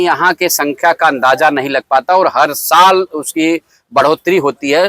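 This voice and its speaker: A man's voice, fairly high in pitch, with a bright, sharp tone and a dry, close sound free of echo. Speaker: podcast host and local reporter. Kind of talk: on-location news report to camera.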